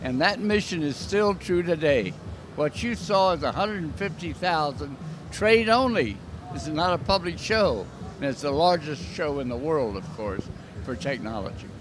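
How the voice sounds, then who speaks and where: Pitched fairly high, a man talks at a middling speed, his voice leaping very widely up and down, with clear background noise behind him. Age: 80s+. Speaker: trade show founder and industry executive. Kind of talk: interview.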